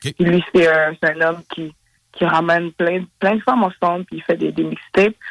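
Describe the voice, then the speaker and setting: At a moderate pace, a man with a high pitch speaks with fairly even intonation. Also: dry, close sound with no echo. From Montreal, Quebec. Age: 20s. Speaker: rapper. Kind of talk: interview. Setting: phone call. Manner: halting.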